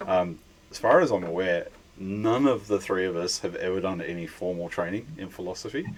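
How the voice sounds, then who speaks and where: Over noticeable background noise, a man with an Australian accent speaks at a moderate pace with a fairly low pitch and ordinary pitch variation. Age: middle-aged. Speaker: podcast host. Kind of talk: casual chat.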